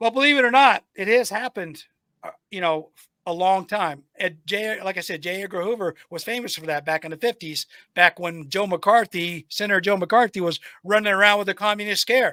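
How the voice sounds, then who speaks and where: Man with a raised, projected voice, high pitch, bright, sharp tone, ordinary pitch variation and fairly quick pace, very clean recording with a silent background, dry and close with no echo. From United States. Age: 60s. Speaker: podcast host and military veteran. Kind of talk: casual interview conversation. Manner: halting with frequent fillers.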